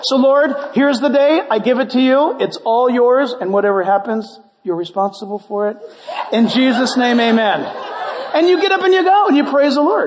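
A man with an extremely high pitch speaks at a moderate pace in an animated tone with lively intonation. His loudness stays very even while crowd noise fills the background. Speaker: pastor. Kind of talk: sermon. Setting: church.

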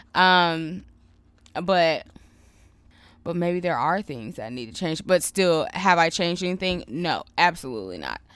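A woman speaks at a fairly low pitch and a fairly slow pace, with ordinary pitch variation, big swings in loudness, and long, frequent pauses. The recording is very clean, with a silent background. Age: 30s. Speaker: podcast host. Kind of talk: casual chat.

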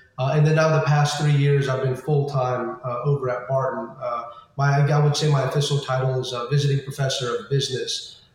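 A man speaks at a fairly quick pace with hardly any pauses, in a fairly high pitch. His intonation is fairly even, with noticeable background noise. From US, California and Florida, Indian immigrant family. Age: 30s. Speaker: business professor. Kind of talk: interview. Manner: frequent fillers and restarts.

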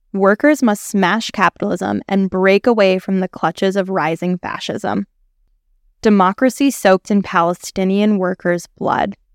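A woman speaks in an unremarkable speaking voice at medium pitch and a moderate pace, with ordinary pitch variation. The recording is very clean and dry, close with no echo, the background silent. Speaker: editorial reader. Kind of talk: reading aloud a political editorial.

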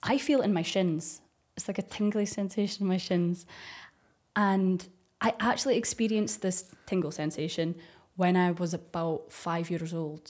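A woman with a Scottish accent at medium pitch, with ordinary pitch variation and a moderate pace, on a very clean recording with a silent background. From Dundee, Scotland. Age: 30s. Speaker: ASMR YouTuber. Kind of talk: casual podcast interview.

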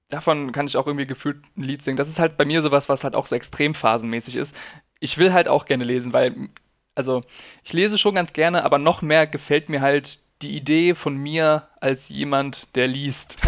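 Captured on a very clean recording with a silent background, a man in an ordinary speaking voice talks at a moderate pace and fairly high pitch with fairly even intonation. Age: 20s. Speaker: podcast co-host. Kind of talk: casual chat.

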